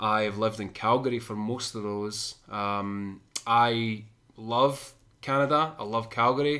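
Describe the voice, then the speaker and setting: With a Scottish accent, a man speaks at a medium pitch and a fairly slow pace, his intonation fairly even, on a very clean recording with a silent background. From Scotland (Shotts, between Glasgow and Edinburgh). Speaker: podcast co-host. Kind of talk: casual chat.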